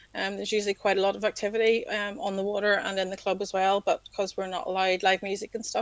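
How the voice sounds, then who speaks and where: A woman with a Northern Irish accent speaks very fast at a medium pitch in a monotone, flat delivery. The sound is dry and close, with no echo. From Northern Ireland, County Down. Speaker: civil servant and yacht club secretary. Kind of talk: casual interview chat. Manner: hesitant, many ums.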